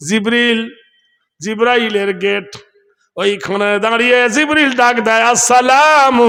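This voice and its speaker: A man's extremely high-pitched, raised and projected voice, animated in tone with ordinary pitch variation, amid audible room echo. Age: old. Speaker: Islamic preacher. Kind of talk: sermon. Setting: stage with audience.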